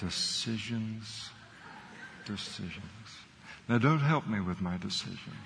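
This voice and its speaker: A man's fairly low voice with ordinary pitch variation at a fairly slow pace, with long, frequent pauses and audible room echo. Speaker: pastor. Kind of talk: sermon.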